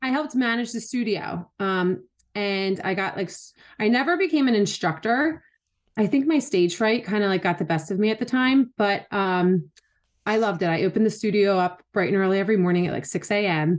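A woman's normal speaking voice with an American accent, medium in pitch, with lively intonation and a fairly quick pace, over a quiet background. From Philadelphia. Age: 30s. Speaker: wellness enthusiast and CBD advocate. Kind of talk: casual interview chat.

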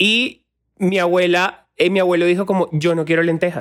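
Pitched high, a man speaks at a fairly quick pace. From Colombian Caribbean coast, Sincelejo. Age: 30s. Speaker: social media creator. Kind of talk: casual chat. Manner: animated.

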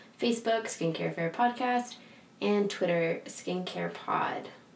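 Over noticeable background noise, a woman talks at a fairly slow pace in a medium pitch. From San Diego, California. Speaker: skincare podcast co-host, esthetician. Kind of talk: casual chat, podcast intro. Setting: studio at a spa. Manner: halting, forgets words.

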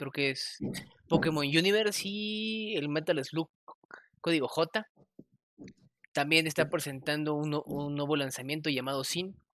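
A man with a Mexican accent has a bright, sharp tone and a fairly high pitch, with ordinary pitch variation. He talks at a fairly slow pace with long, frequent pauses. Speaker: podcast host. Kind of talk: casual chat.

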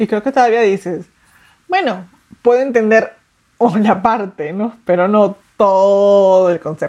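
A woman speaks at a fairly slow pace. Her tone is dark and mellow, her pitch medium. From Mexico City. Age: 30s. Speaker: artist. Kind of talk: interview testimony.

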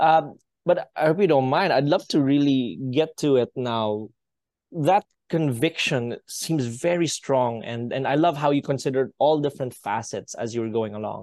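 The sound is dry and close with no echo, over a quiet background. An unremarkable speaking voice talks at a moderate pace with ordinary pitch variation. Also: man, fairly high pitch for a man. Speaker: podcast host, tech company founder. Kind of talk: interview.

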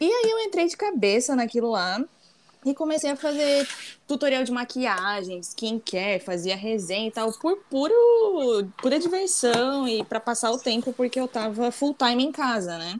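Her pitch swings very widely from moment to moment. The woman speaks high-pitched at a moderate pace. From Santa Catarina, southern Brazil. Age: 20s. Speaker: naval engineer and embroidery creator. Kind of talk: casual chat.

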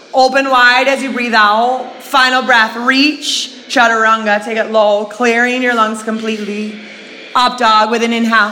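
A woman's fairly high voice, moderate in pace and monotone and flat, over noticeable background noise. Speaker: fitness instructor. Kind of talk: guided yoga class, cueing poses to breath. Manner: rhythmic, breath-timed, then softer and calmer in the cool-down.

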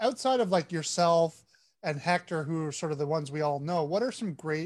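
Animated and enthusiastic, a man speaks at a moderate pace. His pitch is fairly high. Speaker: podcast host. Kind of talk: casual chat. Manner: animated, enthusiastic.

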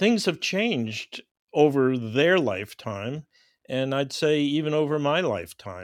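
A man's fairly high voice with very wide pitch swings, at a fairly slow pace, in a dry, close sound with no echo. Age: 80s+. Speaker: marine biology professor. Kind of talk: interview. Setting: remote call. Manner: halting, many fillers.

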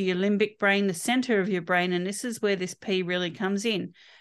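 In an Australian accent, a woman speaks at a moderate pace with medium pitch and ordinary pitch variation. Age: 50s. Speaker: holistic health practitioner. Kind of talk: interview.

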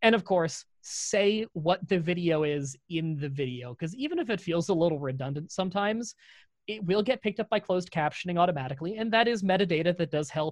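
A man's high voice in a Canadian accent, fairly quick and lively in intonation, with a dry, close sound and no echo. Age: 20s. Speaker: YouTube content creator. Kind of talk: casual interview.

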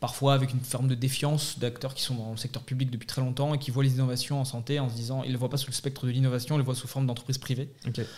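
A man speaks at a very fast pace with hardly any pauses. His medium-pitched voice is somewhat breathy and monotone, with flat intonation. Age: 20s. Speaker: startup founder. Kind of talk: interview. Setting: studio. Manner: halting.

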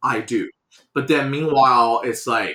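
Bright and sharp in tone, a man with a Mandarin accent speaks at a medium pitch and a fairly slow pace. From China. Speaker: graphic designer and studio owner. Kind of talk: casual interview chat.

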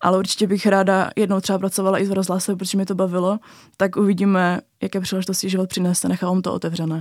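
A woman speaks at a very fast pace in a monotone, flat intonation. The recording is very clean, with a silent background. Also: medium pitch for a woman. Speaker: journalism student, documentary author. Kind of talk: interview.

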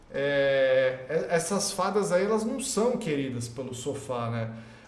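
Noticeable background noise and audible room echo surround the recording. A man speaks with very wide pitch swings. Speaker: live show commentator on reality TV. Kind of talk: casual live-stream chat. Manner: animated.

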